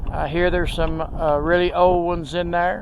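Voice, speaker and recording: Over noticeable background noise, a man with a Texas accent speaks at a moderate pace in a high voice. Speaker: video blogger. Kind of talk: casual walking tour narration. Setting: outdoors at a cemetery.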